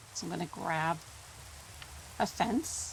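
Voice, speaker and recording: Noticeable background noise sits behind a woman speaking in a relaxed tone. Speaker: gaming YouTuber. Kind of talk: gameplay commentary. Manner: relaxed, casual.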